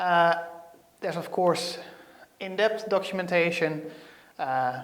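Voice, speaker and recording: Using fairly even intonation, a man with a slight Dutch accent speaks at a high pitch. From Netherlands. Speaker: software developer; presenter. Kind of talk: tech tutorial. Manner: hesitant, many fillers. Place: studio. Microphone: lapel.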